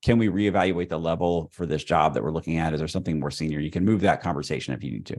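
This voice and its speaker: Very fast speech with vocal fry over a quiet background. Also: man, very deep, low pitch for a man, ordinary pitch variation. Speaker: salary negotiation coach. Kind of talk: live Q&A session. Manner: conversational.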